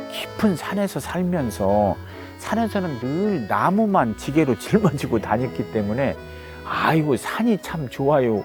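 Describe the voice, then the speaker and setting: Music plays in the background as a man speaks at a very slow pace. His fairly high voice swings very widely in pitch. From South Korea. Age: 60s. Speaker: forest owner who returned to the mountains. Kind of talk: interview answer.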